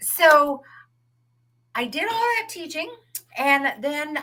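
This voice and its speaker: A woman speaks at a fairly slow pace with a plain, everyday voice. Her pitch varies in an ordinary way. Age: 60s. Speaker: author, retired teacher. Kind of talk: interview.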